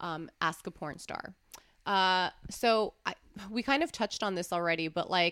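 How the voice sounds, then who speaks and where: In an ordinary speaking voice, a woman talks at a medium pitch with ordinary pitch variation, recorded very cleanly against a silent background. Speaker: podcast host and adult film performer. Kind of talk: casual chat. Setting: studio.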